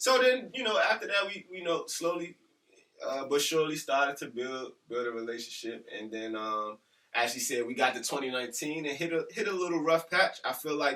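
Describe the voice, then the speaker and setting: Loud and bright, with a sharp tone, a man with a fairly high pitch talks at a fairly quick pace, his pitch swinging very widely. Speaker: teacher and podcast co-host. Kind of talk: casual chat.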